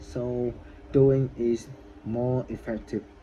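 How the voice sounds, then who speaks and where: A man speaks with monotone, flat intonation. Noticeable background noise runs behind him. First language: not English. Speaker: English learner vlogger. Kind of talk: casual vlog monologue. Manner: halting, many repetitions.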